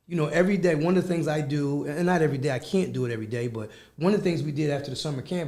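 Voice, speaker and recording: A man's very fast, somewhat breathy speech with an American accent, a dark, mellow tone, fairly high pitch, ordinary pitch variation and audible room echo. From Philadelphia, Pennsylvania. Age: 60s. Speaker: youth club executive director. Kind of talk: radio interview.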